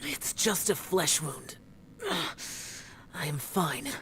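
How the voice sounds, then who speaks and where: This put-on character voice sits at a middle pitch over clear background noise. It moves at a very slow pace. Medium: video game. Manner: terse, solemn.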